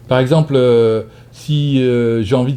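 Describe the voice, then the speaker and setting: A man's somewhat breathy voice has a dark, mellow tone, a medium pitch and fairly even intonation. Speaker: psychotherapist giving a talk. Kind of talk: lecture with audience questions; casual video intro. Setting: conference hall with audience. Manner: fast.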